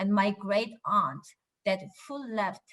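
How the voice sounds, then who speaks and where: This woman's bright, sharp tone carries a lively intonation. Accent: Korean. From Japan. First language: Korean. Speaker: politician. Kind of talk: speech.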